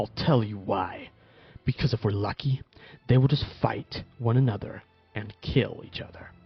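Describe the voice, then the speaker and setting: A somewhat breathy quality marks this man's voice. He talks at a fairly slow pace. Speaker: fan fiction narrator. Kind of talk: fan fiction story read with character dialogue. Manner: hesitant, some stutters. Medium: read story.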